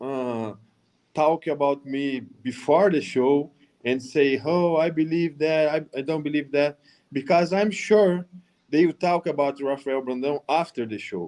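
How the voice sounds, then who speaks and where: Speaking at a fairly slow pace with a Brazilian accent, a man has a fairly high pitch, a dark, mellow tone and ordinary pitch variation. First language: Portuguese. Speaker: professional bodybuilder. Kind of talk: panel discussion.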